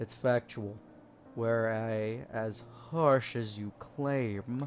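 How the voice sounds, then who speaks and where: Clear background noise sits under a put-on character voice that moves at a very slow pace. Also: man, medium pitch for a man. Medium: game stream. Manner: stern, blunt, condescending.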